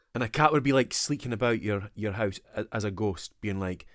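A man with a Scottish accent speaks at a fairly low pitch with vocal fry, in a very clean recording with a silent background. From Scotland. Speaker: podcast co-host. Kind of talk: casual chat.

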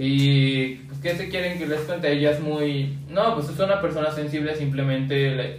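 In a Mexican accent, a man speaks at a moderate pace and fairly high pitch with fairly even intonation, amid noticeable background noise and audible room echo. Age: young. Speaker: podcast co-host. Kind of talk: casual chat.

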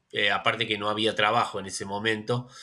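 Bright and sharp in tone, a man talks at a fairly low pitch with monotone, flat intonation. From Buenos Aires western suburbs, Argentina. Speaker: novelist. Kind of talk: interview. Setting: video call.

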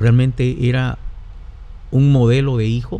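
A man's dark, mellow voice of medium pitch at a moderate pace. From Guatemala. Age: 50s. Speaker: pastor. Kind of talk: casual chat. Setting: studio.

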